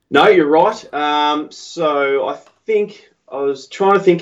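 A man with an Australian accent speaks at a fairly slow pace, with ordinary pitch variation. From Melbourne, Australia. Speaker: pipe maker. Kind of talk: casual interview chat. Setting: video or phone call, late at night.

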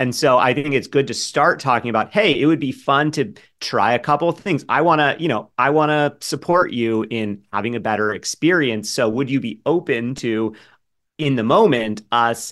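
A man talks at a moderate pace and medium pitch. He has a plain, everyday voice, and the background is quiet. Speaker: business partner of sex therapist. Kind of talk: casual chat.

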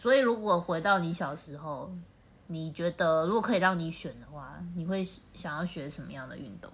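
A woman speaks at a moderate pace with a fairly low pitch, vocal fry and lively intonation. Her loudness swings widely, and the room echo is audible. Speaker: podcast co-host. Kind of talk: casual chat. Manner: slightly slurred.

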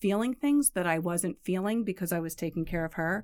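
A woman talks with a New York accent at a medium pitch. The recording is very clean, with a silent background. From New York suburbs. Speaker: parent caregiver and patient advocate. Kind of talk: casual interview.

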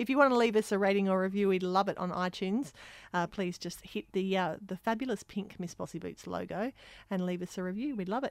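A very fast pace with ordinary pitch variation. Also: woman, medium pitch for a woman, quiet background. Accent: Australian. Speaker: performing arts school principal and podcast host. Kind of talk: casual chat.

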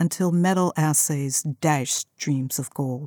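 Recorded dry and close with no echo and a silent background, a woman with a very deep, low pitch speaks at a fairly slow pace in a dark, mellow tone with ordinary pitch variation. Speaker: essay author narrating her own essay. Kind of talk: audiobook-style narrated essay reading. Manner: measured, reflective, literary narration.

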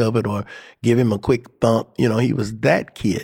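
The recording is very clean, with a silent background. A man with an American accent talks in an ordinary speaking voice at a medium pitch, with fairly even intonation. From Cleveland, Ohio. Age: 60s. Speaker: exonerated former death row prisoner. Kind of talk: personal testimony.

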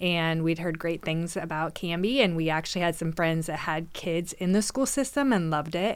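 In a very clean recording with a silent background, a woman with an American accent talks at a moderate pace and fairly low pitch in an ordinary speaking voice with ordinary pitch variation. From Oregon, McMinnville. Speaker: mortgage broker and community organizer. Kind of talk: casual interview chat.

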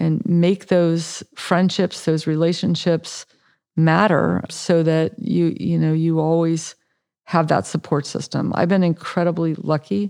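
A woman with an American accent speaks fairly slowly in a fairly low, dark, mellow voice, with ordinary pitch variation and very even loudness, in a dry, close sound with no echo. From California, San Francisco Bay Area. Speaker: oncologist and cancer researcher. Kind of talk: interview.

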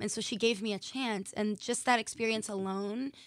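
A normal speaking voice with an American accent moves at a moderate pace on a very clean recording with a silent background. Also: woman. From Massachusetts. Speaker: professional dancer and choreographer. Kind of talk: interview.

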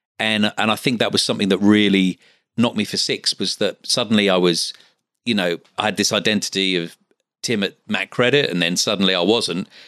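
Against a quiet background, a man talks at a fairly quick pace with a slight Australian accent. His intonation is fairly even, and the sound is dry and close with no echo. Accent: English with slight Australian twang. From Essex, England. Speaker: patient finance business owner. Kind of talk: interview. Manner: halting with many fillers.

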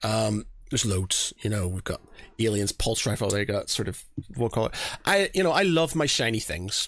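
On a very clean recording with a silent background, a man with a Northern Irish accent speaks at a moderate pace and medium pitch, with lively intonation. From Northern Ireland. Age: 40s. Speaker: podcast host. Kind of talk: casual chat. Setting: home studio.

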